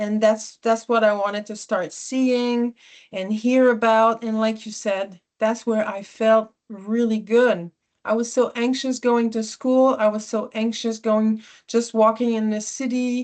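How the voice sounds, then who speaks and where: A woman's fairly high, flat, monotone voice in a Quebec accent, fairly slow, against a quiet background. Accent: Québécois French accent in English. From Quebec (Sherbrooke). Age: 40s. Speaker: environmentalist speaker. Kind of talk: personal talk to small audience. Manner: halting, many fillers.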